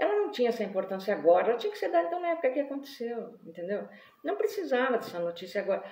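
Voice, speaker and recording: Over noticeable background noise, a woman talks at a very fast pace in a fairly high voice with very wide pitch swings. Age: 60s. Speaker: writer and vlogger. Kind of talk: live video monologue. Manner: animated.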